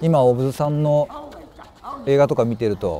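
Over light background noise, a man with a fairly high pitch and lively intonation speaks at a moderate pace, the sound dry with no echo. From Kansai, Japan (rural basin). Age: 50s. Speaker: actor. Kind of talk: interview answers. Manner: halting, with many pauses and fillers. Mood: calm, reflective. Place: open country.

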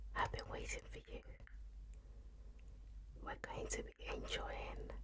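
A woman talks at a very slow pace. Noticeable background noise runs beneath her voice. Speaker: ASMR eating host. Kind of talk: ASMR eating video. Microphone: studio mic.

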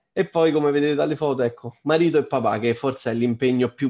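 Speaking at a moderate pace, a man uses a plain, everyday voice with fairly even intonation. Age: 30s. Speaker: trading course student. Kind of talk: webinar testimony.

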